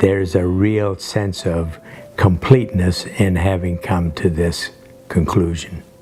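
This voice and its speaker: A man with a very deep, low pitch, fairly slow and fairly even in intonation, over background music. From Kansas, US (born in Ukraine, emigrated at ten). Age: 70s. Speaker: church member giving baptism testimony. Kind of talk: testimony. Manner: halting.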